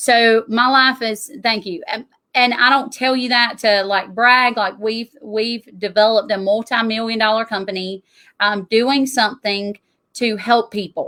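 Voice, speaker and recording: This woman speaks with a Southern US accent and a fairly high pitch. Her pace is fairly slow and her intonation fairly even. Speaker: tax strategist. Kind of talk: interview.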